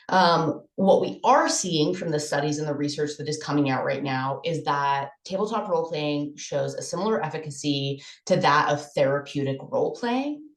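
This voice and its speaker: A woman's very deep, low voice with ordinary pitch variation, at a moderate pace with hardly any pauses, in audible room echo. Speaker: conference presenter. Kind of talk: conference presentation.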